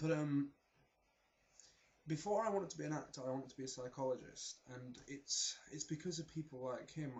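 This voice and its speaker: With a slight South Yorkshire accent, a man with a fairly high pitch speaks fairly quickly and somewhat breathily, his pitch varying in an ordinary way. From South Yorkshire, England. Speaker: vlogger, performing arts student. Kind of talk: casual vlog monologue.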